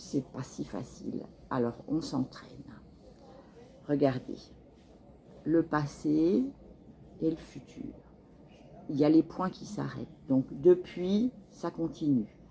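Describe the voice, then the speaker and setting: A woman speaks very slowly with a very deep, low pitch, a dark, mellow tone and vocal fry. Her loudness swings widely, and she leaves long, frequent pauses. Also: lively intonation. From France. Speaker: French teacher. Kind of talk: tutorial.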